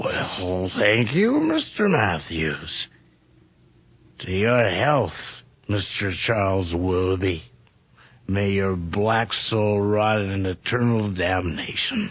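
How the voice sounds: This put-on character voice has big pitch swings and a fairly bright tone. It moves at a slow pace. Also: man, fairly low pitch for a man.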